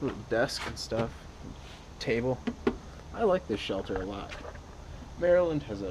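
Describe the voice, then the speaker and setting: Against noticeable background noise, the voice moves at a moderate pace with very wide pitch swings and long, frequent pauses. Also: man, medium pitch for a man. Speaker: hiker vlogger. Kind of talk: vlog monologue. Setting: outdoors on a hiking trail. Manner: quiet.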